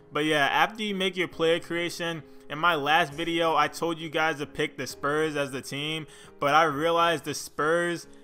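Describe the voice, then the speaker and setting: A man's fairly high voice in a monotone, flat delivery, with music in the background. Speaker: gaming youtuber. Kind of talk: tutorial. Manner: fast; casual.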